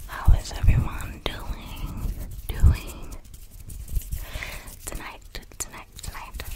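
A soft-spoken woman whispers at a very slow pace. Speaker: ASMR creator. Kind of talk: ASMR whisper chat. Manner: soft close-mic ASMR whisper. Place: home room. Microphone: studio mic.

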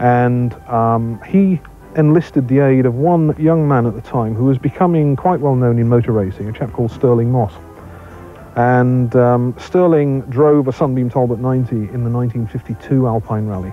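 A man speaks at a moderate pace with ordinary pitch variation in a dry sound with no echo, with faint music in the background. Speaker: interviewee. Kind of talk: interview answer. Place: garden.

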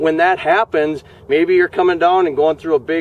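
A man speaks with a high pitch and ordinary pitch variation. The sound is dry, with no echo. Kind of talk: product walkthrough interview. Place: open country.

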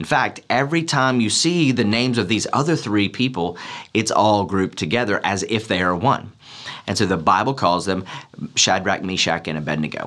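A man speaks at a moderate pace in a fairly low pitch, his intonation lively. The background is quiet. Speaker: pastor. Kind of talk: sermon. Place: hall.

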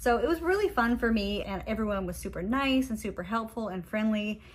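A somewhat breathy voice, fairly quick in pace, its pitch varying in an ordinary way. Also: woman. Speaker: fragrance vlogger. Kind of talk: casual vlog chat. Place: home room. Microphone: phone near.

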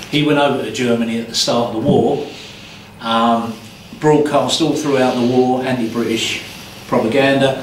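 A man talks at a moderate pace with fairly even intonation. Light background noise and audible room echo are present. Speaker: tour guide. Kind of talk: guided tour explanation. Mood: humorous, relaxed. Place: tunnel cave. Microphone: camera far.

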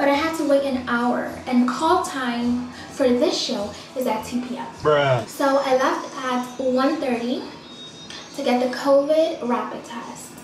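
A woman's high voice at a very slow pace, with audible room echo and noticeable background noise. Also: ordinary pitch variation. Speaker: model vlogger. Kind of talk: casual vlog chat. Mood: stressed, venting frustration. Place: bathroom. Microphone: phone near.

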